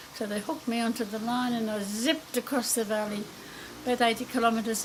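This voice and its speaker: A woman's fairly high voice at a fairly quick pace, fairly even in intonation, over noticeable background noise. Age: 80s+. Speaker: grandmother sharing experience. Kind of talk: personal anecdote.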